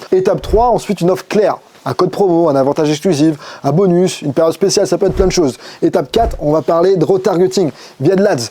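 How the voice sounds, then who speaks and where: Talking very fast, a man speaks in a high voice with ordinary pitch variation. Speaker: digital marketing agency owner. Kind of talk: tutorial.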